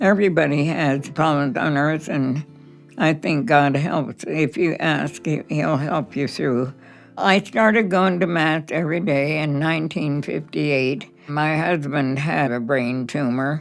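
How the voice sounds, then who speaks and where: A woman's very deep, low voice with ordinary pitch variation at a fairly slow pace, music in the background. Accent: American. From Boulder, Colorado. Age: 80s+. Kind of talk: interview answer.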